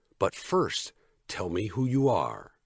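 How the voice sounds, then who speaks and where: A man growls in a put-on character voice at a medium pitch. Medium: read story. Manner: direct, calm.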